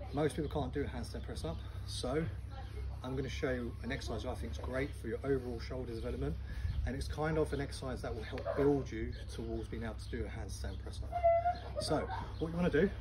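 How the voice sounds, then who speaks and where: Very fast speech over loud background noise. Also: man. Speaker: fitness trainer. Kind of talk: tutorial. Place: garden. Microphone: camera far.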